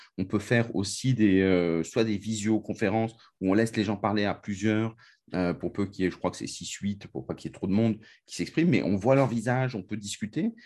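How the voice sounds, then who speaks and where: This man uses an ordinary speaking voice, fairly low in pitch with ordinary variation. He moves at a fairly quick pace over a quiet background. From France. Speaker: podcast host. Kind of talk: interview.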